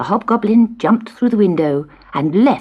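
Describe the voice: Someone reads aloud plainly. The intonation rises and falls in a lively way.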